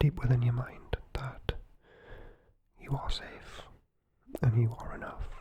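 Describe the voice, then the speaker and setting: In a Geordie accent, a woman is whispering. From North East England (Geordie). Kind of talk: guided breathing and positive affirmations. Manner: whispered, soft-spoken, slow.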